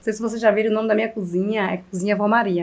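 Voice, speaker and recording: A woman's fairly high voice at a very fast pace. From Bahia backlands, Brazil. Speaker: chef. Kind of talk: interview.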